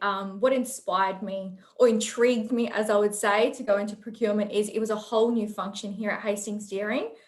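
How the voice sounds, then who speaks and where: With an Australian accent, a woman speaks at a fairly high pitch and a fairly quick pace. Her intonation is fairly even, and there is noticeable background noise. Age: young. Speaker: procurement professional. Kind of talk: panel interview.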